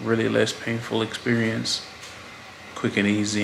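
Background noise is noticeable here. A man talks at a moderate speed. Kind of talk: casual vlog chat. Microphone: phone near.

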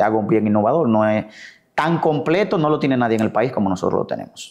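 A man's dark, mellow voice over a quiet background. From Dominican Republic, La Vega; Dominican Republic. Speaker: physician and elected city councillor; elected city councillor. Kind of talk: interview. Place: home room. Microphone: lapel.

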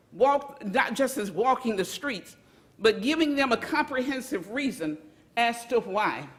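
Against noticeable background noise, a woman with a high pitch and lively intonation speaks at a fairly slow pace. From US South (Montgomery, Alabama). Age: 70s. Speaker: community activist. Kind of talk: public comment at a government meeting. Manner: impassioned.

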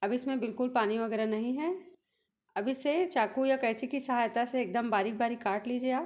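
The speaker is a woman with a high-pitched voice. Her pace is fairly slow. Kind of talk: tutorial. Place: kitchen.

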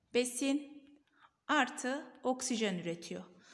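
Her pitch sits high for a woman. She speaks with lively intonation. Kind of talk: tutorial.

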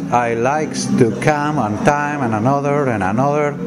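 A man speaks over loud music in the background. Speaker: travel video host. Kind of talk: casual vlog chat. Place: bar. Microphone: phone near.

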